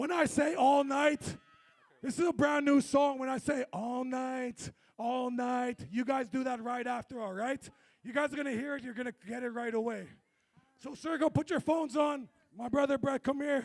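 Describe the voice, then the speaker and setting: At a moderate pace, a man talks with an extremely high pitch in a dry, close sound with no echo. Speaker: performer at community event. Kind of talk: stage hype between songs. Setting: stage with audience. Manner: animated; loud.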